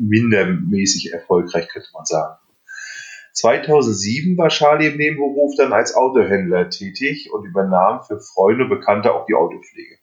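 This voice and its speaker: His pitch swings very widely as the man speaks at a moderate speed. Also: medium pitch for a man. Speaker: podcast host. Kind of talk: casual chat. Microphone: recorded on phones, poor sound.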